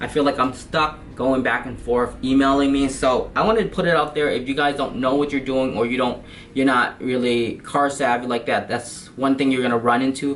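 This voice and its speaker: Over noticeable background noise, a man talks at a medium pitch with fairly even intonation and hardly any pauses. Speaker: car enthusiast vlogger. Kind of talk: product review. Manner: fast; hesitant, many fillers.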